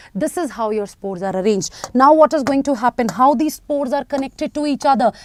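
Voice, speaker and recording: High-pitched female speech full of lively intonation. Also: dry, close sound with no echo. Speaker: biology teacher. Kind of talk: online live class lecture. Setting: live online stream. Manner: fast; animated, repetitive.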